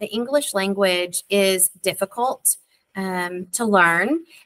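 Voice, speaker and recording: In an East Texas accent, the speaker talks at a very slow pace with ordinary pitch variation, the sound dry and close with no echo. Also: woman. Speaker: school district literacy coordinator. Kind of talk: parent workshop presentation. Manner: casual, with frequent fillers.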